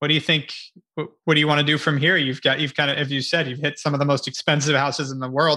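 The tone is bright and sharp. The intonation is monotone and flat. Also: man. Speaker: podcast host. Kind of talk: casual interview.

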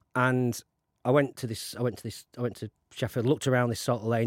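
A man with a South Yorkshire accent, medium pitch and a very fast pace, flat monotone intonation, and a dry, close sound with no echo. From South Yorkshire (Conisbrough, mining town). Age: 50s. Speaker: film producer. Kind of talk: interview. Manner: halting, many restarts.

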